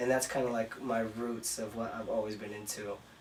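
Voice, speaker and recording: Against noticeable background noise, a man talks with monotone, flat intonation. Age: 30s. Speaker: entrepreneur. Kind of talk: interview.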